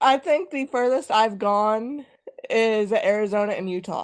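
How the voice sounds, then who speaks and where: With a Kansas accent, a woman speaks very slowly in a high pitch and lively intonation. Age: 30s. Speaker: guest on live stream. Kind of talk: casual chat.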